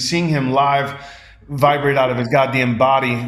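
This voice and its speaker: Noticeable background noise and audible room echo around a male voice. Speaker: performance poet. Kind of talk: casual interview chat. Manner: fast, with stumbles and repeats.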